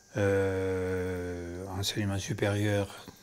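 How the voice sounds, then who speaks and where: A man's fairly low voice, monotone and flat in intonation, with audible room echo. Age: 80s+. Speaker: winery manager, retired professor. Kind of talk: documentary interview. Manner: hesitant.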